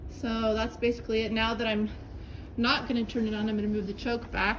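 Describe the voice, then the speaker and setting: Someone talks at a fairly quick pace in a monotone, flat voice with very even loudness, over noticeable background noise. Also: woman, fairly high pitch for a woman. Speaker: home video maker. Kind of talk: tutorial. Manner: casual.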